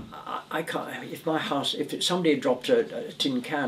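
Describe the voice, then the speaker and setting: Over noticeable background noise, the pitch of the voice swings very widely. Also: man. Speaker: retired volunteer litter picker. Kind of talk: interview answer.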